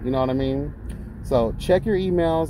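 At a moderate pace, the voice comes through dry and echo-free against light background noise. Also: man. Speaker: skincare business owner vlogger. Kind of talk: casual vlog chat. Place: car. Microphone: phone near.

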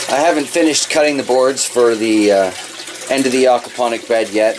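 Someone male talks at a fairly quick pace, with ordinary pitch variation. Noticeable background noise runs beneath him. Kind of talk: casual vlog chat. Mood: relaxed, cheerful. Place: garage. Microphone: phone near.

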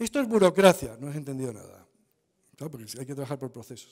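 A man's voice with very wide pitch swings over a quiet background. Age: 60s. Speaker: conference speaker, standards body representative; conference speaker. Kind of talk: Q&A answer at conference talk. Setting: conference stage with audience. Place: hall. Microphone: podium.

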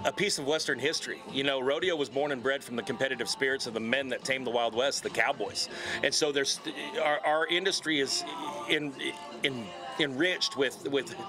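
Clear music plays in the background while a man speaks at a fairly quick pace with ordinary pitch variation. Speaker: guest. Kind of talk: interview answer. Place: stadium. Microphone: handheld.

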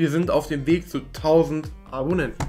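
A man at a fairly slow pace over faint background music. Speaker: gaming content creator. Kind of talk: casual commentary. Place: home room.

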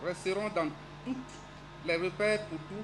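Faint music plays in the background as a man speaks at a moderate pace. His pitch is high, with ordinary pitch variation. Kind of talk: formal speech. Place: street. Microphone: podium.

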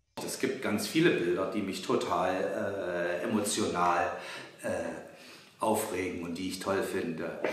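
A man's very deep, low voice at a fairly slow pace, with long, frequent pauses, ordinary pitch variation and audible room echo. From Halle, Saxony-Anhalt, eastern Germany. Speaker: visual artist. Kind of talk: interview answering children's questions. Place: workshop.

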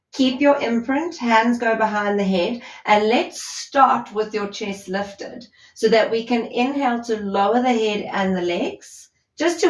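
A somewhat breathy woman at a fairly slow pace, ordinary pitch variation, audible room echo. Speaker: fitness instructor. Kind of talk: workout instruction. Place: empty room.

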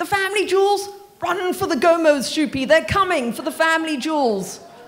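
Putting on a character voice, a woman speaks at a fairly quick pace in an extremely high, shrill, panicked tone with lively intonation. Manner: shrieking, panicked, comic.

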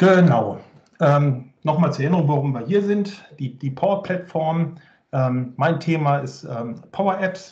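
In an ordinary speaking voice, a man with fairly high pitch speaks at a fairly slow pace with ordinary pitch variation over a quiet background. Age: 40s. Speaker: IT consultant and conference speaker; conference speaker. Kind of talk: technical presentation. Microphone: video call.

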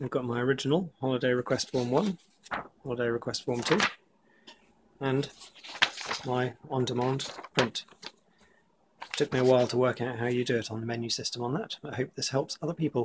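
With noticeable background noise behind him, a man of medium pitch talks at a fairly quick pace in fairly even intonation, broken by long, frequent pauses. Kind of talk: tutorial walkthrough.

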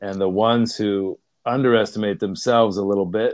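A man with an American accent speaks at a moderate pace with fairly even intonation, a quiet background and a dry sound with no echo. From Pittsburgh, US. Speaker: leadership coach. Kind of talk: interview. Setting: video call. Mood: friendly, reflective. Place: home room. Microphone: earbuds.

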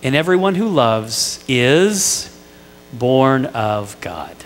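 A man speaks in an American accent, with faint music in the background. His pitch swings very widely. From Indiana, US Midwest. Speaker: pastor. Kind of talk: sermon. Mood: warm, light humour. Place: church. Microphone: headset.

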